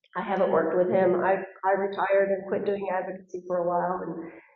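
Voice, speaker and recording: A woman with an American accent talks at a fairly quick pace in a monotone, flat delivery at a medium pitch. There is noticeable background noise and audible echo in the room. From Texas. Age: 60s. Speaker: school board candidate. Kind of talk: candidate forum answer.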